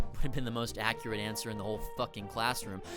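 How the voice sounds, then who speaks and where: A man speaks in an energetic tone with very wide pitch swings. Music plays in the background. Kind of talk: satirical comedy commentary. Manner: sarcastic, energetic.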